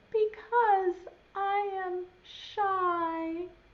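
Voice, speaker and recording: A woman puts on a shaky character voice with an extremely high pitch and a nervous tone. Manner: shy, nervous.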